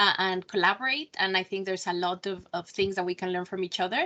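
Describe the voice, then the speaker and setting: A woman's bright, sharp voice at medium pitch, very fast. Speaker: evaluation center director. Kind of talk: presentation. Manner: hesitant, many fillers.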